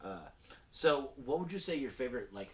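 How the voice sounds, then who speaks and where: The speaker has an American accent, and the room echo is audible. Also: man. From North Texas. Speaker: podcast host. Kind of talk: casual chat. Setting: studio.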